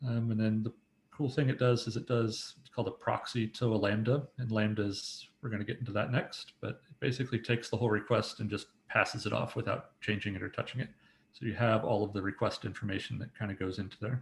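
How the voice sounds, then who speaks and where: Talking very fast, a man with a somewhat breathy medium-pitched voice keeps fairly even intonation while his loudness swings a lot. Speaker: software developer. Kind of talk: technical presentation. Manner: casual with many fillers.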